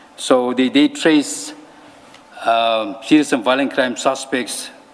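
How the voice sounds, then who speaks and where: Noticeable background noise runs through the recording. A man speaks fairly slowly over it. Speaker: police officer testifying at a commission. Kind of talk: testimony.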